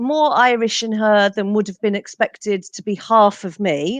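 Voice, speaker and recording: A woman speaks with a fairly high pitch in a dry, close sound with no echo. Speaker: genealogist and author. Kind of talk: interview.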